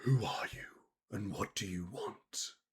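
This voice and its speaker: Whispering, a man uses a put-on character voice. He keeps to a fairly slow pace. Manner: chilling.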